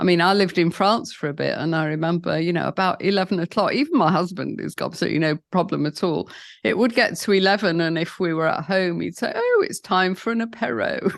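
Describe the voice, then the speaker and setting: A British-accented woman at a fairly quick pace, fairly low in pitch, with vocal fry, ordinary pitch variation and a quiet background. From London, England. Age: 70s. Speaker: founder of sobriety support program. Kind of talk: podcast interview answer.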